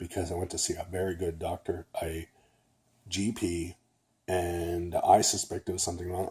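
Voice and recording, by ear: A man speaks at a moderate pace in a dark, mellow tone with a slightly husky edge.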